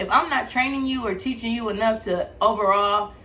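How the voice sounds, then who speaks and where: A woman speaks at a fairly high pitch with ordinary pitch variation, and the recording carries noticeable background noise and audible room echo. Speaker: podcast co-host. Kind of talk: casual chat. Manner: fast.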